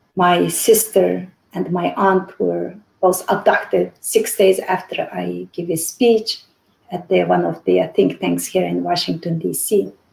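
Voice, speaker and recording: A woman with a Xinjiang accent talks at a fairly slow pace. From Urumqi, Xinjiang. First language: Uyghur. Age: 50s. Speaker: activist. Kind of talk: interview. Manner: halting.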